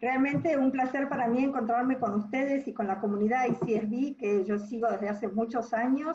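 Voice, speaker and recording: The speech moves at a moderate pace with hardly any pauses and very even loudness. Pitch variation is ordinary, and background noise is noticeable. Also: woman. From Argentina. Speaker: business school dean and entrepreneurship professor. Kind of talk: webinar talk. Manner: hesitant with fillers.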